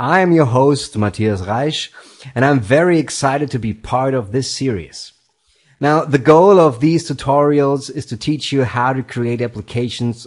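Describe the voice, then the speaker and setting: At a moderate pace and a medium pitch, a man talks with a non-native accent and ordinary pitch variation. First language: not English. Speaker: tutorial host, software developer. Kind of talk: tutorial.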